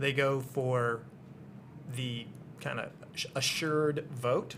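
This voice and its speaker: His pitch runs fairly high. The man talks with an American accent. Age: 60s. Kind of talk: interview. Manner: hesitant, many fillers.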